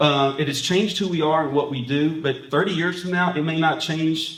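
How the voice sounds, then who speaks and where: Ordinary pitch variation in an American accent, with audible room echo and noticeable background noise. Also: man. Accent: East Texas with some Alabama. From rural East Texas. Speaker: pastor and conference speaker. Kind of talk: presentation to pastors. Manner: talkative.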